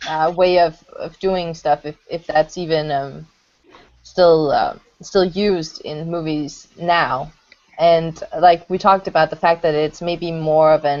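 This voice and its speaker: A woman speaks with a Danish accent. Her pace is fairly slow. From Denmark. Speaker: hangout moderator. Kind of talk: casual group discussion. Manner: halting.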